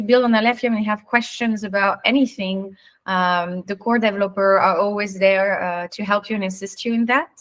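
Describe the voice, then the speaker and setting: A woman with an unremarkable speaking voice, medium pitch, ordinary pitch variation, and a fairly quick pace, on a very clean recording with a silent background. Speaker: AMA moderator. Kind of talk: live AMA Q&A.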